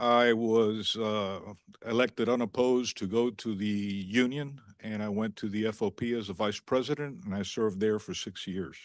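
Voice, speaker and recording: A normal speaking voice from a man at medium pitch and moderate pace, with ordinary pitch variation and a quiet background. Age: 60s. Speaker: police chief candidate. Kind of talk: job candidate address at public meeting. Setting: municipal commission meeting. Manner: formal.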